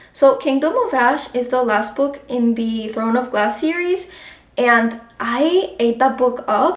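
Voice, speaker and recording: Against noticeable background noise, a woman with a Spanish accent talks very slowly in a high pitch. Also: ordinary pitch variation. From Colombia. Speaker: book vlogger. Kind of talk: casual vlog talk. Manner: casual, filler-heavy.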